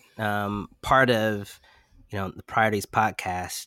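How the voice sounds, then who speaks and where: A man's fairly low voice at a very slow pace, dry and close with no echo, in a very clean recording with a silent background. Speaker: podcast co-host. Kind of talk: interview.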